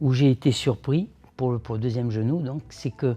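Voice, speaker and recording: Fairly slow in pace, a man speaks at a medium pitch with ordinary pitch variation and a dark, mellow tone. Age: 70s. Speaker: patient. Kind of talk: testimony. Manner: halting.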